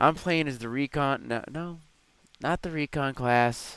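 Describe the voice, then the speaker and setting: Moderate pace over music in the background. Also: man. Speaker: gaming video commentator. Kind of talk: gameplay commentary. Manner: hesitant, many filler uhs.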